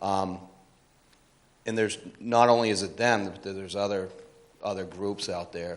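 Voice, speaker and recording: Loud and monotone, a man speaks with flat intonation at a fairly low pitch. His pace is moderate, broken by long, frequent pauses. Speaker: resident at a public meeting. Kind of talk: public meeting comment. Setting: public hearing.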